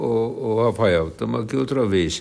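With vocal fry in his fairly low voice, a man talks at a fairly slow pace using lively intonation. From Minas Gerais, Brazil (Nova Ponte, Uberaba). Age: 80s+. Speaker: retired police chief. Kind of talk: interview answers.

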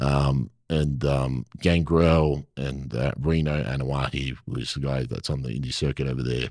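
On a very clean recording with a silent background, a man with an Australian accent speaks in a very deep, low pitch with fairly even intonation. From Perth, Western Australia. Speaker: actor and former pro wrestler. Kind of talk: casual interview chat.

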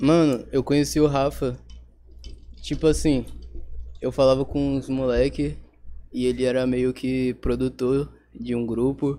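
Recorded very cleanly against a silent background, a man with a dark, mellow, relaxed tone speaks at a moderate pace. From Espírito Santo, Brazil. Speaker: rapper. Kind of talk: casual chat. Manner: slangy, relaxed.

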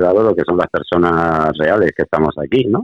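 This man has a very deep, low pitch. He moves at a moderate pace with ordinary pitch variation. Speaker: podcast co-host. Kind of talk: casual chat. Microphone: poor connection, weak signal.

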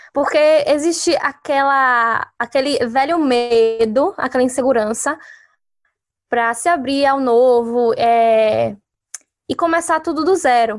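At a very slow pace, a woman with a high pitch speaks at a very even loudness, her pitch varying in an ordinary way. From Brazil. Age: 20s. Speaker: journalist and photographer. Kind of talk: casual chat.

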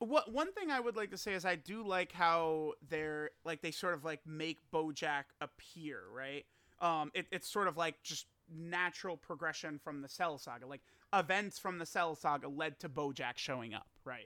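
A man with a plain, everyday voice speaks at a moderate pace with a fairly high pitch and ordinary pitch variation, his sound dry and close with no echo. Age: 20s. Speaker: mobile game content creator. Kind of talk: casual chat.

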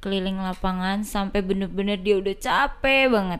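The recording is very clean, with a silent background. A woman talks in an ordinary speaking voice at a moderate pace. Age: 20s. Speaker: basketball club administrator and player. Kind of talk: casual chat.

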